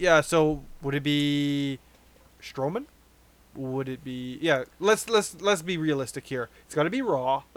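This man has an unremarkable speaking voice, fairly high in pitch. He talks at a fairly slow pace with ordinary pitch variation. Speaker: podcast host. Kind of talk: casual banter, wrestling talk.

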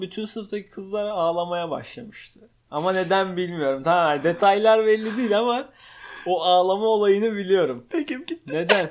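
This man has a high pitch, a moderate pace and ordinary pitch variation. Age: 20s. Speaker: podcast co-host, operations manager. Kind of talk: casual chat. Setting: home living room.

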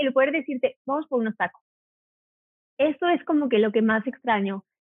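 A woman talks at a fairly quick pace in a high pitch with lively intonation, leaving long, frequent pauses. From Mexico, Cuernavaca. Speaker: hotel worker and video creator. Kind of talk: casual interview. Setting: phone call.

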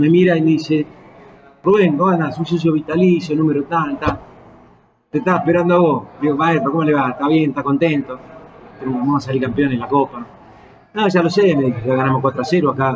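Speech comes very fast in an Argentine accent, with ordinary pitch variation. Long pauses break it up often, over noticeable background noise. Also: man, fairly high pitch for a man. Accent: Rioplatense Argentine Spanish. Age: 60s. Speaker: football coach. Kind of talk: casual interview. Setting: bar. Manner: halting, many fillers.

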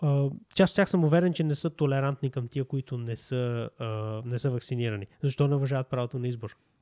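A man speaks with a dark, mellow tone and ordinary pitch variation, the sound dry and close with no echo. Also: medium pitch for a man. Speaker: YouTube host and e-commerce entrepreneur. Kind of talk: sales pitch; casual discussion.

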